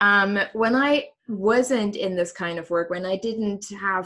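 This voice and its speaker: This woman speaks with a slight German accent. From Germany. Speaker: coach. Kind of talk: interview. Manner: hesitant, many fillers.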